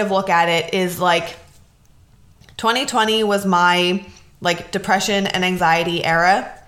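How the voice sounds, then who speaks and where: A woman speaks at medium pitch and a fairly slow pace. Audible room echo is present. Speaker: podcast host. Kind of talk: casual solo talk. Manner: casual, many fillers.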